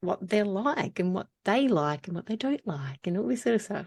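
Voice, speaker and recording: In an Australian accent, a woman speaks at a medium pitch. The background is quiet. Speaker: podcast host. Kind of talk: casual chat.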